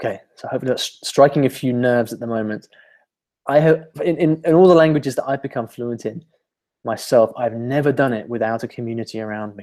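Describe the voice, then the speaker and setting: Man with a dark, mellow tone and big swings in loudness. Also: medium pitch for a man, ordinary pitch variation, fairly quick pace. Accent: British. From UK. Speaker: language learning teacher. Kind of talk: webinar presentation. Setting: online webinar.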